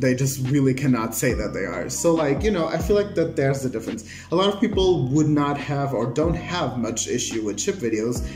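Clear music plays in the background as a man talks at a fairly quick pace with hardly any pauses. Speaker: reaction video creator. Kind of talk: casual vlog chat. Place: home room. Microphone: phone near.

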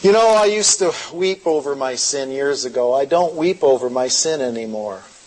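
Amid noticeable background noise, a man speaks at a fairly high pitch with hardly any pauses. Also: moderate pace. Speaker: pastor. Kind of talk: sermon. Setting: stage with audience.

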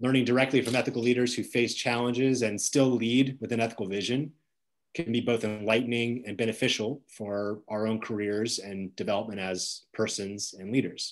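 The speaker is a man with fairly even intonation. He talks at a fairly quick pace. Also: quiet background. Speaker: event host, moderator. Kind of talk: formal event introduction. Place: home room. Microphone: video call.

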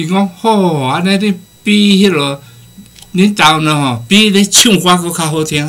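Animated in tone, a man with a high pitch speaks at a fairly slow pace. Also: ordinary pitch variation. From Taiwan. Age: 60s. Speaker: guest speaker, professor abroad. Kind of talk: casual talk show conversation, storytelling. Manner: animated, humorous, rambling. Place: studio.

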